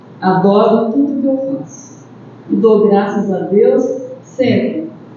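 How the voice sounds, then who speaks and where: Noticeable background noise sits under speech delivered fairly slowly. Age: 70s. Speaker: spiritist centre session leader. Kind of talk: closing remarks.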